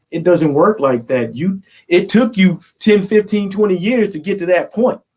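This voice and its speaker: An American accent at a moderate pace. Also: man. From US Midwest, Danville, Illinois. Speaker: motivational speaker. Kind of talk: interview. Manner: animated.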